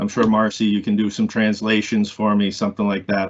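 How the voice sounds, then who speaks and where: Spoken at a moderate pace in a Maine accent, the delivery is monotone with flat intonation. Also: man. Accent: Maine accent, self-noted. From US Northeast, Maine. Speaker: building industry association board member. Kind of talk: casual interview.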